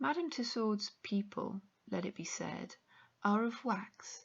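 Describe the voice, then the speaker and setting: A woman speaks in a somewhat breathy voice. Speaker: audiobook narrator. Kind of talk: audiobook reading.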